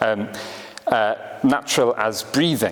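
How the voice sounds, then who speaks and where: Noticeable background noise sits behind a man speaking with a Welsh accent. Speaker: writer and naturalist. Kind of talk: lecture; reading aloud.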